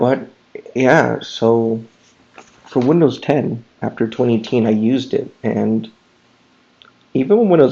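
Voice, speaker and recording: Quiet and at a medium pitch, a man speaks with ordinary pitch variation. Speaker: tech YouTuber. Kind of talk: casual screen-recording commentary. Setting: at home late at night. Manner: talking quietly.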